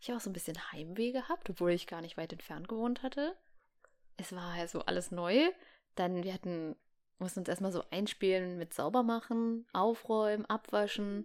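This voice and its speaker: A woman's medium-pitched, animated voice at a moderate pace, with ordinary pitch variation and a very clean recording over a silent background. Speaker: podcast co-host. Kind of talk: casual chat. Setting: home room.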